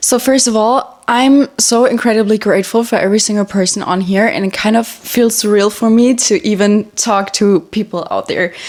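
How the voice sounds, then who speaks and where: Fairly high-pitched woman over noticeable background noise. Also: ordinary pitch variation, moderate pace. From Germany. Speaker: social media influencer. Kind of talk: casual chat. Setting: at home in bedroom.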